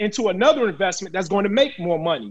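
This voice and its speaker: Very fast and animated, a man talks with lively intonation. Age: 40s. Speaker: real estate investor. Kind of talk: casual chat.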